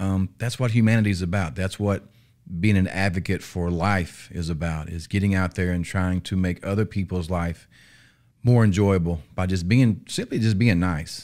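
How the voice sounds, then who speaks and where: In a very clean recording with a silent background, a man with a Southern US accent speaks at a very deep, low pitch. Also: fairly even intonation, moderate pace. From Arkansas, US South. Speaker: police officer. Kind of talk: interview. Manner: halting.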